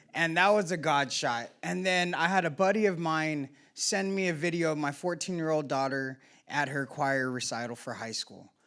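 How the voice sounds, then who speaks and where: Loud speech at a moderate pace, bright and sharp in tone, on a very clean recording with a silent background. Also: man, fairly high pitch for a man, ordinary pitch variation. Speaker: member sharing at a recovery meeting. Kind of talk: personal testimony share.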